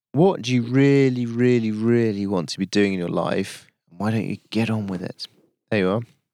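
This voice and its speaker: A man of medium pitch talks at a moderate pace in a dark, mellow tone. His pitch varies normally against a quiet background. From Yorkshire. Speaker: podcast host and adventurer. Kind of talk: reflective solo monologue. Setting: outdoors on a hilltop.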